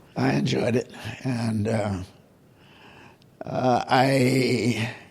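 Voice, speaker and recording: Speaking very slowly with an American accent, a man uses medium pitch and ordinary pitch variation. Audible room echo and noticeable background noise are present. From US South, New Orleans. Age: 90s. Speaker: art collector. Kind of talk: interview.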